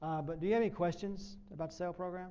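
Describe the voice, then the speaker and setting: A man with a Southern US accent talks at a fairly quick pace. His tone is dark and mellow, and the room echo is audible. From US South. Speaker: professor. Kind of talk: presentation. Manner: fast.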